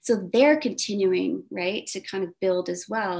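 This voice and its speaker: With an unremarkable speaking voice, a woman talks at a moderate pace in a medium pitch with ordinary pitch variation against a quiet background. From Texas, Corpus Christi. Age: 50s. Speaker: professor. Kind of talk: interview.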